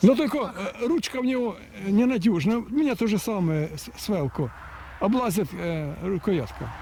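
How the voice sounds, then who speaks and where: A man speaks at a moderate pace in a high voice with very wide pitch swings and big swings in loudness. Noticeable background noise is present. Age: 60s. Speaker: fruit-growing researcher. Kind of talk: casual chat.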